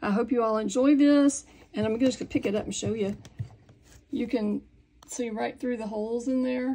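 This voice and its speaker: Delivered at a moderate pace with long, frequent pauses, the voice has a dark, mellow tone and fairly even intonation. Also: woman, fairly high pitch for a woman. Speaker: sewing instructor. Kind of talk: tutorial.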